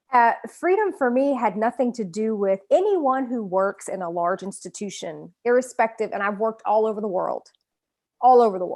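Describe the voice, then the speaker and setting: At a moderate pace, a woman with a strong Southern US accent speaks at a fairly high pitch with ordinary variation over a quiet background. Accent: thick Southern US. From US South. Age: 40s. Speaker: author. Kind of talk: interview. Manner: halting.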